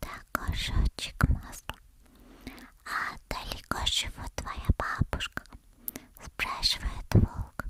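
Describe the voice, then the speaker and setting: Whispering at a very slow pace, a woman is heard with a dry, close sound with no echo over noticeable background noise. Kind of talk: ASMR fairy tale reading. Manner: soft-spoken, slow.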